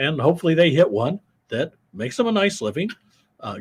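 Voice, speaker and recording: Vocal fry runs through this man's speech, delivered at a fairly quick pace. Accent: American. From US Midwest, Iowa. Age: 70s. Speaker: war veteran and business executive. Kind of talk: podcast interview. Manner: hesitant with fillers and repetitions.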